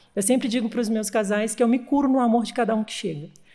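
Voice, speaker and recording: A woman's voice sits high in pitch yet has a dark, mellow tone. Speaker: wedding celebrant. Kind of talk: interview answer.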